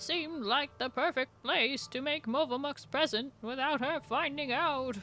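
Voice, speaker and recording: Over clear background music, a put-on character voice that sounds female speaks at a moderate pace in a high pitch. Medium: virtual streamer.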